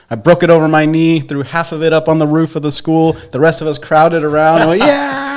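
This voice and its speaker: Over noticeable background noise, a man with an American accent talks very fast with hardly any pauses, his fairly high pitch held in a monotone, flat intonation. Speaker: podcast co-host. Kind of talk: casual chat.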